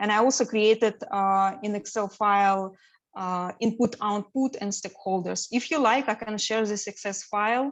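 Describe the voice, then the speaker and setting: A woman with a non-native accent talks at a moderate pace in a medium pitch. Her intonation is fairly even, and the background is quiet. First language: not English. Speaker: certified business analyst sharing exam experience. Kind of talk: presentation to study group. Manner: hesitant, many fillers.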